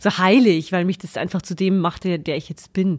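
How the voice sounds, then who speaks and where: At a moderate pace, a plain, everyday voice speaks with fairly even intonation, the very clean recording dry and close with no echo and a silent background. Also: woman. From Upper Palatinate, Bavaria. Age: 30s. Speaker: actress and occupational therapist. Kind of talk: casual interview.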